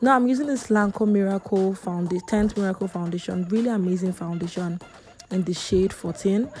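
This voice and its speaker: A woman's medium-pitched, fairly quick speech with ordinary pitch variation, music in the background. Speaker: makeup artist. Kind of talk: tutorial. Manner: fast; chatty.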